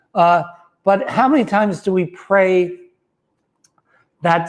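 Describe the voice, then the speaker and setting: A man speaks in a high pitch. His pitch variation is ordinary. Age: 50s. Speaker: wellness center founder and author. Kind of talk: motivational talk. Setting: livestream video. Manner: halting, with many fillers.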